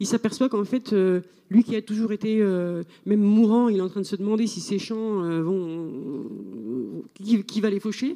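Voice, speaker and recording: At a fairly slow pace, a woman speaks at a medium pitch in a dark, mellow tone with ordinary pitch variation. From France, rural farming background. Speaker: novelist. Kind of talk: literary panel discussion. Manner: halting, repetitive.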